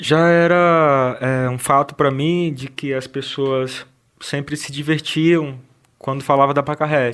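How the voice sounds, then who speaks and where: Fairly slow, monotone speech from a man with a fairly high pitch and flat intonation. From Ceará, Brazil (Russas). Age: 30s. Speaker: film director. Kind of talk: interview. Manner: halting, many fillers.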